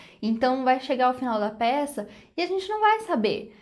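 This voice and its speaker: Her voice sits high in pitch as this woman talks at a moderate speed. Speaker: book reviewer. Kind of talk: casual vlog chat. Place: home room. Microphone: lapel.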